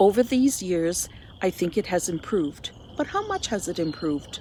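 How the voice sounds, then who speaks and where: With a Canadian accent, a woman speaks at a moderate pace in a dark, mellow tone. Her pitch swings very widely. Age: 60s. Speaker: volunteer with a menstrual health charity. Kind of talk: scripted narration; casual chat.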